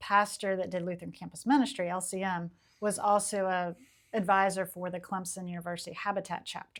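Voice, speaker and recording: Speaking at a fairly quick pace with fairly even intonation, a woman with an American accent has a medium pitch and a normal speaking voice. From US South, Charleston, South Carolina. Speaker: historic preservation architect. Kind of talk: casual interview chat.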